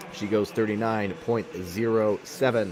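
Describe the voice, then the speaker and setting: Noticeable background noise behind a man speaking at a medium pitch. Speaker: sports commentator. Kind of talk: live commentary.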